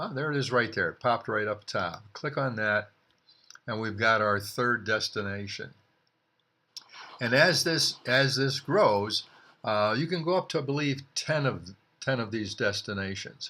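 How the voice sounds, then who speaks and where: Bright, sharp and medium in pitch, a man's voice carries lively intonation. He speaks at a fairly slow pace. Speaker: author demonstrating his book. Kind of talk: screen-recorded tutorial. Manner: halting, many fillers.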